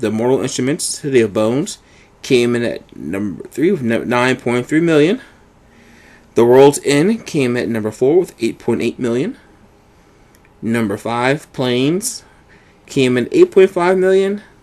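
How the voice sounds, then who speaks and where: An ordinary speaking voice moves along at a fairly slow pace. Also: man, medium pitch for a man, lively intonation. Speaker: podcast co-host. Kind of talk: reading box office list.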